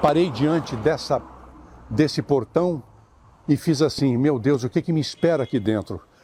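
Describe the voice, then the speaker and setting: A man's somewhat breathy, dark, mellow voice, fairly high in pitch, with lively intonation at a moderate pace. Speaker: voice actor. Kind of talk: personal recollection to camera, outdoors. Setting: outdoors.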